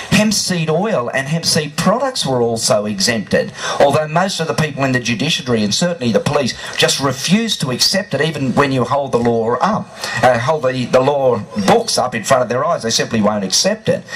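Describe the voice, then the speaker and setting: Over noticeable background noise, a man with an Australian accent speaks at a fairly quick pace. His fairly high voice carries lively intonation. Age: 50s. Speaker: cannabis activist. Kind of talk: rally speech.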